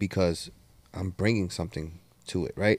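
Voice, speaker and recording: A plain, everyday voice with ordinary pitch variation moves at a moderate pace on a very clean recording with a silent background. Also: man. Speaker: podcast co-host. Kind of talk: casual chat.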